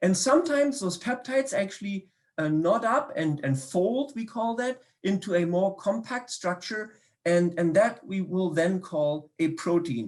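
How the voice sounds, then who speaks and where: A man with a German accent speaks at a fairly slow pace. His high pitch moves in very wide swings. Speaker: biochemistry professor. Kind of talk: public science talk. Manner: hesitant, many fillers and repetitions.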